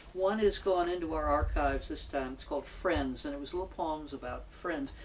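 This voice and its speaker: A woman at a fairly quick pace, big swings in loudness, and audible room echo. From New York City, Manhattan. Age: 70s. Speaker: retired poet and local community member. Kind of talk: oral history interview. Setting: at home.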